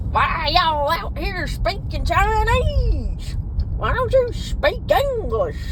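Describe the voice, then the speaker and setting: A put-on character voice speaks at a very slow pace in an extremely high pitch. Loud background noise runs beneath it. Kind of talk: rough, confrontational.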